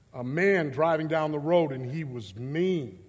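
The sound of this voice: At a fairly slow pace, a man speaks with a fairly high pitch and ordinary pitch variation.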